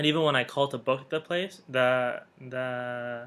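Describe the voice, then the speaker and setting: With an ordinary speaking voice, a man of medium pitch talks with fairly even intonation. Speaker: vlogger on honeymoon. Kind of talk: casual chat.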